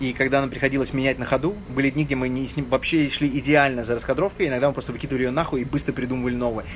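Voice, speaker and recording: Over noticeable background noise, a man of medium pitch talks very fast with hardly any pauses and fairly even intonation. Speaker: film director. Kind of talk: casual chat.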